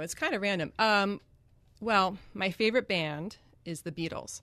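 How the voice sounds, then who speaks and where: A woman with an American accent, a bright, sharp tone and ordinary pitch variation. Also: quiet background. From Greenwich, Connecticut, US. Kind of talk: radio interview. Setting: radio studio. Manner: hesitant, many fillers.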